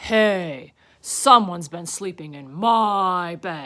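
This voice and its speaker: A put-on character voice at middle pitch and a very slow pace, in a very clean recording with a silent background. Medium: read story.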